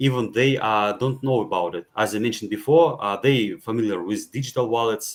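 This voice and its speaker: Someone with a non-native accent talks at a moderate pace on a very clean recording with a silent background. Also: man. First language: not English. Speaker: blockchain gaming speaker. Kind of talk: panel talk presentation. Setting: virtual meetup. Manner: halting, many fillers.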